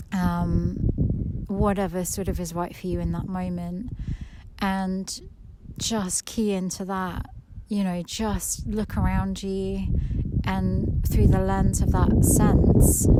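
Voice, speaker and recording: A woman at a very slow pace with long, frequent pauses, over noticeable background noise and audible room echo. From England, Suffolk. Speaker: nature podcast host. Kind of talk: walking meditation monologue. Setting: outdoors on a walk. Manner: quiet and slow; hesitant, many fillers.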